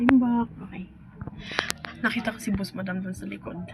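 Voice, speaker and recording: Over noticeable background noise, a woman with a medium pitch speaks with fairly even intonation. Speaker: farmer vlogger. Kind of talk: casual vlog. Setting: beside a vehicle, roadside.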